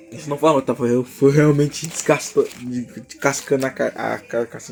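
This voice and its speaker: Talk at a fairly quick pace is heard with noticeable noise in the background. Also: man, hardly any pauses. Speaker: creator explaining own fictional universe. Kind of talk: casual vlog monologue. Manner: animated; halting.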